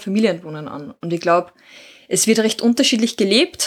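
This woman's fairly high pitch rides on lively intonation at a moderate pace. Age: 30s. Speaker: social worker. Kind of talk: interview.

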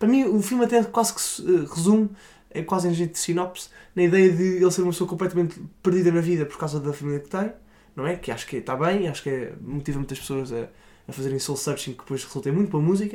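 In a very clean recording with a silent background, a high-pitched man with a dark, mellow tone speaks at a very fast pace with lively intonation. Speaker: film podcast co-host. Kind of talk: casual chat.

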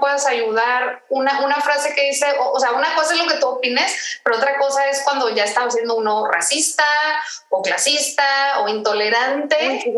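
Amid noticeable background noise, a woman talks at a moderate pace in a high pitch with ordinary pitch variation. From Mexico, Tijuana. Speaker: podcast co-host. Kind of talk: casual chat. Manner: halting, repeats words.

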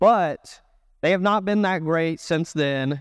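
Recorded very cleanly against a silent background, a man with a fairly high voice speaks fairly slowly in a dry, close sound with no echo. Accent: Texan. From Texas, Dallas. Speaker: children's pastor. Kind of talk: sermon.

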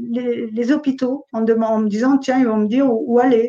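This is a woman speaking. Her pitch is high. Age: 60s. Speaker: Covid survivor. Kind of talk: testimony. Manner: halting.

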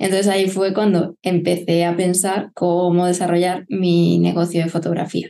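A woman talks at a moderate pace with hardly any pauses, her fairly low voice dark and mellow in tone. Her intonation is monotone and flat, and her loudness stays very even. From Murcia, Spain (Lorca). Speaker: family photographer. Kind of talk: casual chat.

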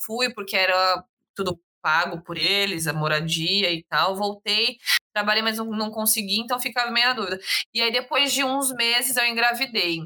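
At a moderate pace, a woman talks in a bright, sharp tone with ordinary pitch variation. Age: 20s. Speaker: podcast guest, young mother. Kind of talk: casual chat.

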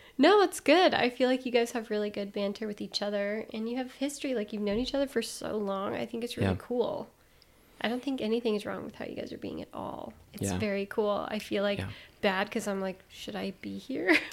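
Here a woman talks at a fairly quick pace. Her pitch is fairly high, with ordinary pitch variation. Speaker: podcast co-host. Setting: home podcast recording. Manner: soft-spoken.

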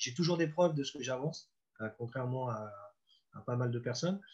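Medium-pitched man at a moderate pace with ordinary pitch variation. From Normandy, France. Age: 50s. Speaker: football coach. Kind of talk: interview. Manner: halting.

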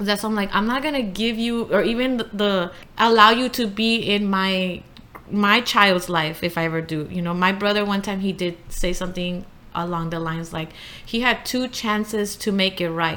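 A woman in a plain, everyday voice at a moderate pace. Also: medium pitch for a woman, ordinary pitch variation. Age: 20s. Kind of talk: casual chat.

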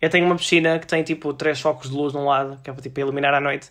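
A man talks at a very fast pace. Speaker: podcast host. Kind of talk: casual chat. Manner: animated.

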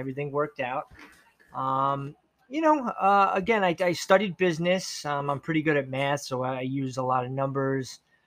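In an ordinary speaking voice, a man with an American accent talks at a moderate pace and a fairly high pitch. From New York, Long Island. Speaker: podcast guest. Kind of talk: casual chat.

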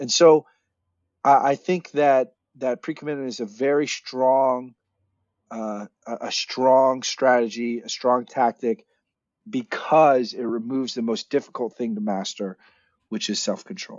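An unremarkable speaking voice: a man at medium pitch, fairly slow pace and ordinary pitch variation. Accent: American. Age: 30s. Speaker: nonprofit founder. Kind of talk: interview.

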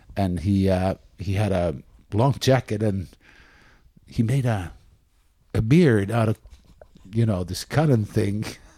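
Speaking at a fairly slow pace with long, frequent pauses, a man with a Finnish accent has a dark, mellow tone. His pitch is fairly low, with ordinary variation. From Espoo, Finland. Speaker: podcast co-host. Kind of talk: casual chat.

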